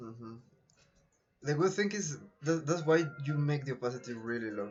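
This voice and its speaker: At a fairly quick pace, a man talks in a Colombian accent. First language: Spanish. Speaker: photo retoucher / streamer. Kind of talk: live-stream tutorial.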